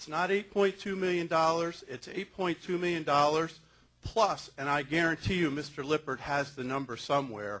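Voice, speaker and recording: This man has a plain, everyday voice with an American accent. His pitch is fairly high, with ordinary variation, at a moderate pace. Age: 60s. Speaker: resident speaking at town board meeting. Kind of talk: public comment at town meeting. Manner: formal.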